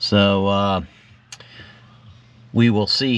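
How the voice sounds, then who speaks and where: Here a man speaks very slowly with fairly even intonation. His pitch is fairly low. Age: 60s. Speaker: fishing vlogger. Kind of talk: DIY tutorial vlog. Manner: casual, with fillers.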